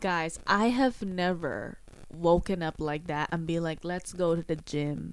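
A woman with a normal speaking voice and a fairly low pitch talks at a fairly slow pace with ordinary pitch variation, over a very clean recording with a silent background. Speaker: podcast host. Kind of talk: casual chat. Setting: video recording with camera.

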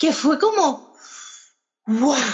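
A woman's energetic, animated voice with very wide pitch swings, at a fairly slow pace. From Spain. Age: 30s. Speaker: tour guide and entrepreneur. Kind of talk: interview.

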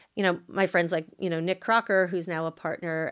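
Her intonation fairly even, a woman with a New York accent speaks at a fairly low pitch. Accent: American, New York area. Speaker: venture capital investor. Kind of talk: interview.

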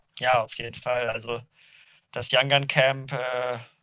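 A man's bright, sharp voice moves at a fairly slow pace against a quiet background. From Ruhr area, Germany (Duisburg). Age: 20s. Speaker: windsurfer and student. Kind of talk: podcast interview. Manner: hesitant, many fillers.

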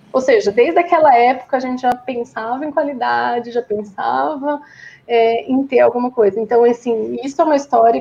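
Delivered in an ordinary speaking voice, the speech moves at a moderate pace with ordinary pitch variation. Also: woman. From Brazil, São Bernardo do Campo (São Paulo). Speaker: software quality head. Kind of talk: casual interview.

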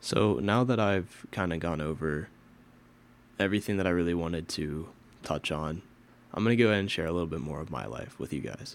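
The speaker goes at a fairly quick pace with lively intonation, vocal fry and long, frequent pauses. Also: man, very deep, low pitch for a man. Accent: American. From Pennsylvania. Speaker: podcast host. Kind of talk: solo podcast monologue.

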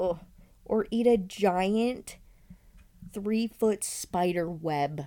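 Speaking at a very slow pace with long, frequent pauses, a woman has a medium pitch and a dark, mellow tone. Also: ordinary pitch variation. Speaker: podcast co-host. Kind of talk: casual chat. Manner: loud; frequent laughter.

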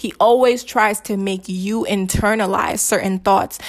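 With an animated tone, a woman speaks fairly slowly at a medium pitch, her pitch varying in an ordinary way. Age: young (19). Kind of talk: personal testimony.

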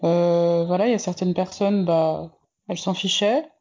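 A woman speaks with fairly even intonation. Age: 20s. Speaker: interviewee sharing coming-out story. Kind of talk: testimony. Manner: hesitant, many fillers.

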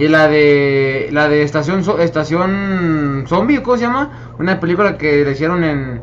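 Noticeable background noise surrounds a man with a fairly high pitch and ordinary pitch variation. He talks at a fairly slow pace with hardly any pauses. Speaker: podcast panel member. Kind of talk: casual chat.

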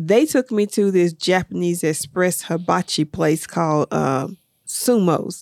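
Speaking in a normal speaking voice, a woman talks at a fairly slow pace with a fairly low pitch, ordinary pitch variation and very even loudness, in a dry, close sound with no echo. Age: 50s. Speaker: podcast co-host. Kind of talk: casual chat.

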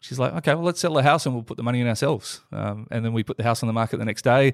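Speech comes at a very fast pace with an Australian accent, on a very clean recording with a silent background and a dry, close sound with no echo. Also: man. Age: 40s. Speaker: entrepreneur and investor. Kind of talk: casual interview.

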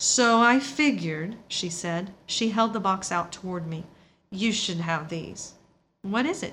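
Someone reads aloud, using a natural voice.

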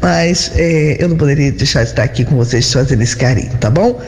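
Audible room echo and noticeable background noise around a woman speaking at a moderate pace. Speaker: chef with a cooking segment. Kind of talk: recipe presentation. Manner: animated.

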